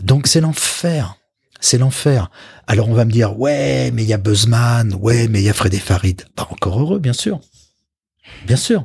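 Somewhat breathy and medium in pitch, a man talks at a fairly slow pace with lively intonation. Long pauses come often. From Paris. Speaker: communications executive. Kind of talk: interview.

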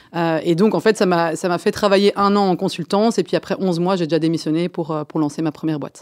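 An unremarkable speaking voice moves at a fairly quick pace with fairly even intonation, recorded very cleanly against a silent background with a dry, close sound and no echo. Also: woman, fairly low pitch for a woman. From Belgium, Brussels. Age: 30s. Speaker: startup founder and CEO. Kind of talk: radio interview.

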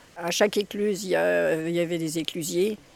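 Speaking with fairly even intonation at a fairly low pitch, a woman is heard over noticeable background noise. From France, born at Conflans-Sainte-Honorine, raised on barges. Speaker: retired bargewoman, museum volunteer. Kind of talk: interview.

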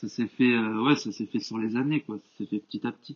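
A man's voice with monotone, flat intonation. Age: 20s. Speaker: engineering student and personal trainer. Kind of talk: podcast interview. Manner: hesitant, many fillers.

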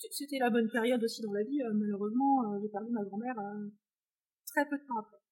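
Her intonation stays fairly even. The woman's pace is fairly quick. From France, countryside. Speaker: equine behaviourist and horse owner. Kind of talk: casual interview chat.

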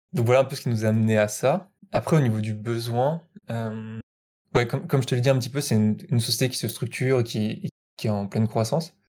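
A medium-pitched, somewhat breathy man's voice at a fairly quick pace, with ordinary pitch variation. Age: 20s. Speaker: software developer. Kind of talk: casual interview. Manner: hesitant, many fillers.

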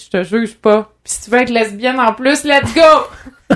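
A woman speaks at a moderate pace in a normal speaking voice, with ordinary pitch variation. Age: 20s. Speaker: organ donor and activist. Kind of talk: casual chat.

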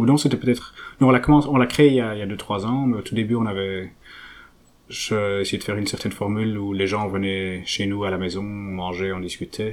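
Moderate pace with ordinary pitch variation. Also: man, fairly low pitch for a man. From Belgium, Flanders (French-speaking family). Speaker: researcher. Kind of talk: interview. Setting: at home. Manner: halting, with many fillers and repetitions.

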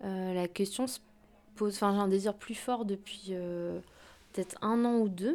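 A woman talks at a fairly slow pace with long, frequent pauses. Her pitch is medium and her intonation fairly even. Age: 30s. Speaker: interviewee. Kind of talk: testimony.

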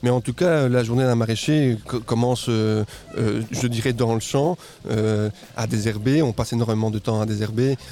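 The speaker keeps a fairly even intonation while noticeable background noise carries on underneath. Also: man, medium pitch for a man, moderate pace, very even loudness. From Guatemala. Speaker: market gardener. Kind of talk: interview. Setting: outdoor farm event, live radio.

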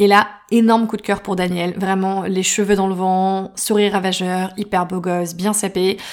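Speaking at a fairly slow pace, a woman uses a plain, everyday voice of medium pitch. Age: 30s. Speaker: podcast host. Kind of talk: personal storytelling.

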